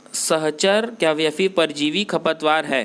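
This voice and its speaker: Speaking with a non-native accent, a man keeps his pitch variation ordinary. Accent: self-described weak Hindi pronunciation. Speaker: online exam-prep teacher. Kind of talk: tutorial. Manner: halting, many fillers and restarts.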